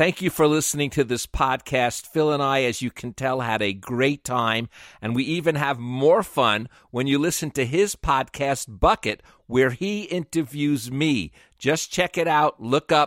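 Recorded very clean and dry with a silent background and no echo, a man with a slight New York accent speaks fairly slowly at a fairly high pitch with ordinary pitch variation. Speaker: podcast host and interviewer. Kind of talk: interview.

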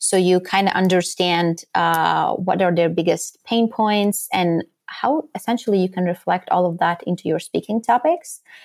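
Moderate pace in a Latvian accent, with very even loudness, hardly any pauses, and ordinary pitch variation. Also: woman, medium pitch for a woman. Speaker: podcast guesting strategist. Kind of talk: interview.

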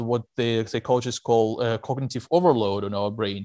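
A man with a Russian accent talks at a fairly quick pace. His voice is dry and close with no echo, over a quiet background. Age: 30s. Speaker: investigative journalist. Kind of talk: interview. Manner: hesitant with fillers.

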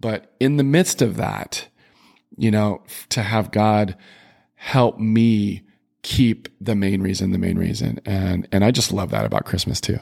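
With fairly even intonation and a fairly low pitch, a man talks in an unremarkable speaking voice. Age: 50s. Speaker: podcast co-host. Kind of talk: casual faith conversation.

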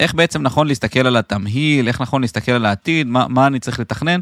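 The speaker has an ordinary speaking voice and a fairly quick pace. The sound is dry and close with no echo, and the pitch varies in an ordinary way. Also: man. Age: 30s. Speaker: podcast host, real estate investment advisor. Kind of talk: podcast interview.

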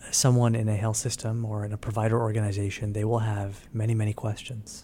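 In an American accent, the speaker's dark, mellow tone comes through somewhat breathy at a moderate pace. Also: man. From New York. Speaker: physician and health insurance executive. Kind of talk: interview.

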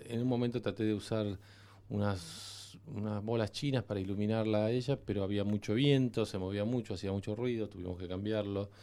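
Man with a Rioplatense accent, fairly low in pitch, dark and mellow in tone, fairly even intonation, very clean recording with a silent background. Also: fairly quick pace. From Argentina. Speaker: cinematographer. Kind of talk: interview. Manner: halting.

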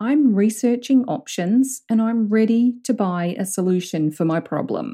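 A woman's fairly high, somewhat breathy voice with a dark, mellow tone and a New Zealand accent, lively in intonation at a fairly slow pace, in a very clean recording with a silent background. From southern New Zealand. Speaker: business coach, podcast host. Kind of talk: solo coaching monologue. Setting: recording alone in a room.

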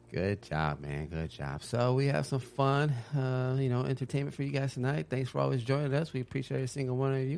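At a fairly quick pace, a man talks in a normal speaking voice of medium pitch with lively intonation. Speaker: podcast host. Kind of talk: casual chat.

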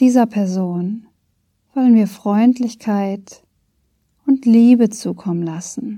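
Speaking at a very slow pace with long, frequent pauses, a woman uses a fairly high, somewhat breathy voice with a dark, mellow and calm, gentle tone, ordinary pitch variation and big swings in loudness. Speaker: podcast host and meditation guide. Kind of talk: guided meditation. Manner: slow, calm, soft-spoken, with long pauses; gentle, soothing, warm.

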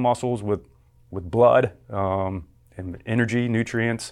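The recording is very clean, with a silent background. A man talks in an unremarkable speaking voice with ordinary pitch variation. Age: 40s. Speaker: exercise physiology professor. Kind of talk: interview.

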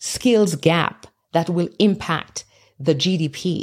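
A woman with a non-native accent, her fairly low voice held to a fairly even intonation. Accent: non-Canadian foreign. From immigrant to Canada from abroad. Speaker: podcast host and leadership coach. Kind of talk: solo podcast monologue. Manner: motivational, encouraging.

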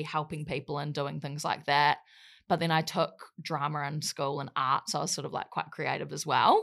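A woman's very deep, low voice with a New Zealand accent, at a fairly quick pace. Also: very clean recording, silent background. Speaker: social media influencer and model. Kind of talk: casual interview chat. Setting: podcast studio.

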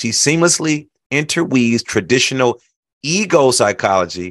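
A man speaks at a moderate pace in an animated tone with very wide pitch swings. The background is quiet. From Chicago, US Midwest. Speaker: podcast host, speaker. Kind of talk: interview podcast.

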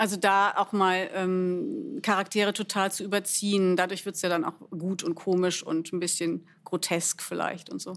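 At a moderate pace and with hardly any pauses, an unremarkable speaking voice talks with ordinary pitch variation. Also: woman, medium pitch for a woman. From Germany, Bielefeld. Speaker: actress and cabaret artist. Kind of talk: casual interview.

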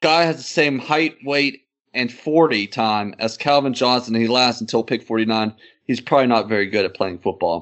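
A man's plain, everyday voice at a medium pitch, with ordinary pitch variation and a moderate pace. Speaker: podcast co-host. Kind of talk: casual banter about NFL draft. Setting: online video call.

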